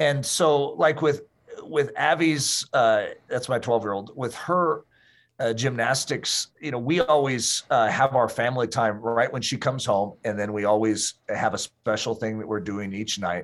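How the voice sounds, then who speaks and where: In a very clean recording with a silent background, a man with a plain, everyday voice speaks at a moderate pace with ordinary pitch variation. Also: medium pitch for a man. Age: 50s. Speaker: pastor and author. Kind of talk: interview.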